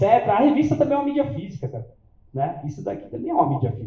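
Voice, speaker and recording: A man's voice with very wide pitch swings. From São Paulo, Brazil (south zone). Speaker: event organizer and interviewer. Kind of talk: live event talk to audience. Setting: stage with audience. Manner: casual, halting with fillers.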